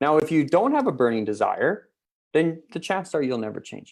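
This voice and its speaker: The tone is animated and the pace fairly quick. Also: man. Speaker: mindset mentor. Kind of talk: motivational talk. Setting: video call. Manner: fast.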